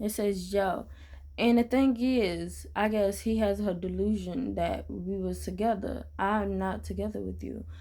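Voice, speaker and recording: A woman talks at a fairly slow pace. The room adds an audible echo. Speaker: gaming youtuber. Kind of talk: casual vlog rant. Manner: stuttering, hesitant.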